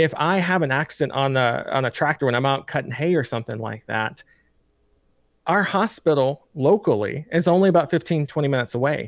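A man with a Tennessee accent talks at a fairly quick pace with a fairly high pitch and lively intonation, in a very clean, dry, close recording with a silent background and no echo. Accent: Southern US (Tennessee). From US South, Lincoln County, Tennessee. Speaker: state senate candidate. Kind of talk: interview.

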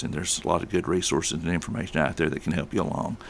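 In a Southern US accent, a man speaks with a very deep, low pitch. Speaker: police chief. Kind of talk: radio interview. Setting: studio.

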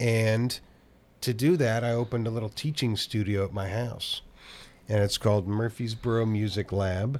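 An unremarkable speaking voice from a man with an American accent, medium pitch, fairly even intonation and moderate pace, on a very clean recording with a silent background. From Oakland, California. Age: 50s. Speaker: drummer and music teacher. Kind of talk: casual chat.

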